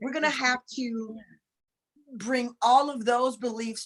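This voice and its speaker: A woman talks in a Southern US accent at a fairly slow pace. Her pitch shows ordinary variation. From US South, rural. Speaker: spiritual talk show co-host. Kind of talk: casual spiritual discussion on a livestream. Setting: live video stream. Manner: sounds fussy, scolding.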